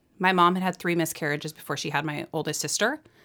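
A woman speaks in a monotone. Her intonation stays flat throughout. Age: 30s. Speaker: mother sharing birth and adoption story. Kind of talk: personal storytelling interview.

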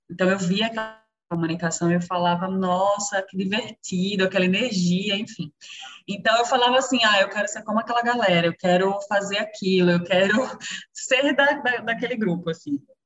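At a moderate pace, a woman talks in a normal speaking voice at medium pitch with ordinary pitch variation. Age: 30s. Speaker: public relations and marketing professional. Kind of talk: casual chat.

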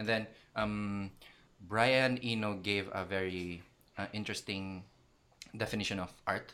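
A man's fairly low, bright and sharp voice, monotone and flat, at a fairly slow pace with long, frequent pauses. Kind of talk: casual chat.

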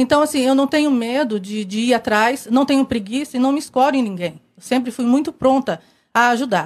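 Fairly quick speech from a woman with a high pitch. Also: ordinary pitch variation. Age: 30s. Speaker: election candidate, accountant. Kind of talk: candidate interview. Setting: TV studio.

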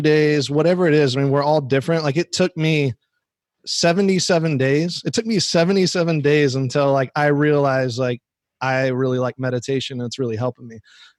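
A man with an American accent has a plain, everyday voice, pitched fairly high, with ordinary pitch variation. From Arizona. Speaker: podcast co-host. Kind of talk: casual interview chat.

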